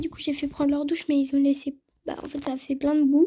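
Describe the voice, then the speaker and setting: Her voice is high-pitched, yet the woman's tone stays dark and mellow. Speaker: horse-riding vlogger. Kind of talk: casual vlog. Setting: stables. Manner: hesitant, many fillers.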